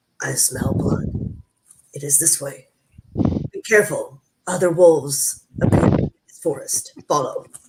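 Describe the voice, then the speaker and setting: A man puts on a growling character voice at a high pitch. He keeps a moderate pace and leaves long, frequent pauses. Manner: urgent, warning.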